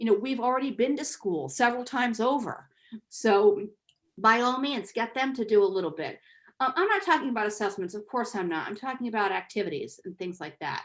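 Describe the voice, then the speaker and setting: A woman with a normal speaking voice, fairly high in pitch, with lively intonation and a fairly quick pace. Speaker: Spanish teacher and author, workshop presenter. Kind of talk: online teacher workshop.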